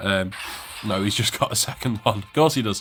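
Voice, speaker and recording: This is a man speaking. His pitch is fairly low. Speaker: video game streamer. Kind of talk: gameplay commentary. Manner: fast-paced.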